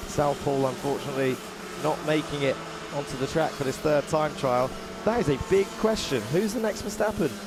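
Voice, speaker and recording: Amid noticeable background noise, a man with a fairly high voice talks at a fairly quick pace with lively intonation. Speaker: motorsport commentator. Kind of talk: live commentary. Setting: commentary booth at race circuit. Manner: animated.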